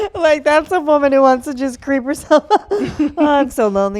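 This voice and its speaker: A woman with a high pitch and lively intonation talks over noticeable background noise. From Massachusetts, US. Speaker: comedian podcast host. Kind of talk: casual chat.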